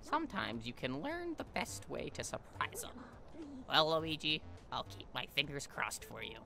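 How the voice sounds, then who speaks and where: Someone speaks in a put-on character voice at a moderate pace. Background noise is clearly audible. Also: man. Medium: game stream. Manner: chatty, encouraging.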